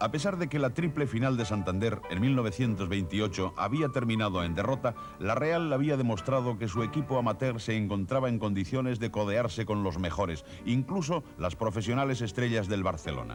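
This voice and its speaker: Over background music, a man talks with lively intonation and very even loudness. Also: medium pitch for a man, fairly quick pace. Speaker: narrator. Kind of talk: TV documentary narration.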